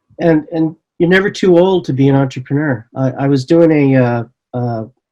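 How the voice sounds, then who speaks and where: A man's fairly high-pitched voice, dark and mellow in tone, at a fairly slow pace. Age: 60s. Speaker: entrepreneur and professor. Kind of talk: interview. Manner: halting.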